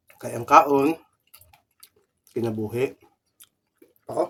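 Speaking at a very slow pace, a man with a medium pitch and ordinary pitch variation has a slightly husky edge and vocal fry.

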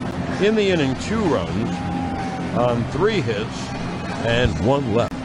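Through loud background noise, a man speaks very slowly with long, frequent pauses, the sound dry and without echo. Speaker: radio baseball play-by-play broadcaster. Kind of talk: live sports radio play-by-play call. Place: booth.

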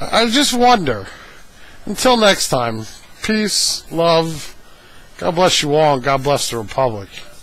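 Speaking very slowly with long, frequent pauses, a man with a fairly high pitch makes very wide pitch swings amid noticeable background noise and audible room echo. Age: 30s. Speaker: video blogger. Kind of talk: casual monologue. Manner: hesitant, many fillers.

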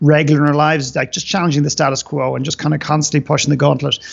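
Against a quiet background, a man talks at a very fast pace with monotone, flat intonation. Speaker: podcast guest, business coach. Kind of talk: interview answer. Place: home room. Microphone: video call.

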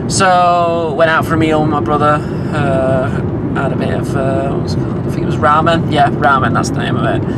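A man keeps up a fairly quick pace while loud noise fills the background. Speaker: vlogger. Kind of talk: casual vlog chat. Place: car. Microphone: phone near.

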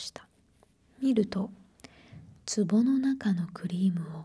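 A woman's dark, mellow, somewhat breathy voice at a very slow pace, with ordinary pitch variation. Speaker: storyteller. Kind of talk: soft story reading, ASMR style. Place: home room. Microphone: handheld.

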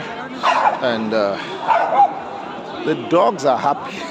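A man's fairly high voice, dry with no echo, with crowd noise in the background. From Africa. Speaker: travel vlogger. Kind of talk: vlog walkabout narration. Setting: outdoors at a Christmas market. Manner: animated. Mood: joyful, amazed. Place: street. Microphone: phone near.

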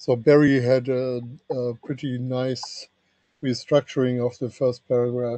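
In a quiet, dry setting with no echo, a man talks at a fairly slow pace. His intonation stays flat and monotone. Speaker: standards engineer, document author. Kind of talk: technical working group meeting. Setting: video call. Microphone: video call.

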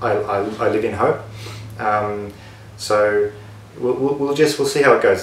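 Someone with an Australian accent speaks at a fairly quick pace with fairly even intonation, amid audible room echo and light background noise. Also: man. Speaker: board game video creator. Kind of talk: casual to-camera monologue. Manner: halting, many fillers. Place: home room. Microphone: camera far.

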